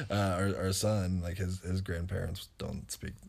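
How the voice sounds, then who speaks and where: Somewhat breathy and very deep, a man's low voice comes with an American accent. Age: 30s. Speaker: co-host, partner of host. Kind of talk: casual chat.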